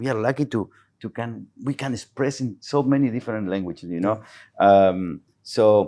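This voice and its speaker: A man speaks at a moderate pace in a Spanish accent, medium in pitch with ordinary pitch variation and a dark, mellow tone. The recording is very clean, with a silent background. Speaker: real estate agent and former footballer. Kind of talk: casual chat. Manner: halting.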